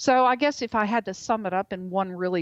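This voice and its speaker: A woman speaks at a moderate pace and a medium pitch. She has a normal speaking voice. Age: 60s. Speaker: author and journalist. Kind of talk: interview. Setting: radio show.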